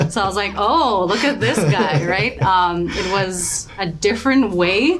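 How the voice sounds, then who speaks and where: Amid noticeable background noise, a woman at medium pitch speaks fairly slowly with lively intonation. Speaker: entrepreneur and author, interviewee. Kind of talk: casual interview. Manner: loud and bold; hesitant filler-heavy speech.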